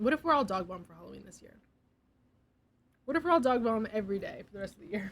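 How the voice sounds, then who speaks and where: A woman with a fairly high pitch, very wide pitch swings, big swings in loudness, a somewhat breathy voice, a very fast pace and long, frequent pauses. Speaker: streamer. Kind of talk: casual chat. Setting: live stream.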